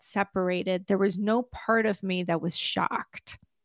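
A woman in a normal speaking voice at medium pitch and moderate pace, with a dry, close sound with no echo and a very clean recording, silent background. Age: 50s. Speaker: trauma recovery coach. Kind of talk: interview.

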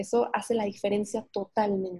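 The pace of this woman's delivery is fairly slow. A dark, mellow tone comes through, somewhat breathy. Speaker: psychotherapist and podcaster. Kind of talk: casual interview chat. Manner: hesitant with many fillers.

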